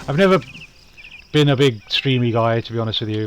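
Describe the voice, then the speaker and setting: The speaker is a man. Noticeable background noise runs behind him. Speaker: video game streamer and YouTuber. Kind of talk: casual chat while playing a game on stream. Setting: live stream. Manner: rambling, hesitant.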